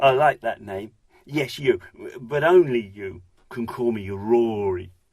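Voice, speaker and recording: Putting on a character voice, a man talks fairly slowly at a medium pitch, sounding husky and gruff. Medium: read story. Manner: friendly, eager, laughing.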